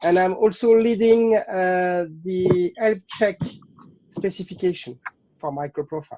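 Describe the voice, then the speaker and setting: A man with a French accent talks at a fairly slow pace in a high pitch, with ordinary pitch variation. His tone is dark and mellow, and there is noticeable background noise. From France. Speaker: software engineer. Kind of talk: self-introduction; interview answer. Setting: video call. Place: home room.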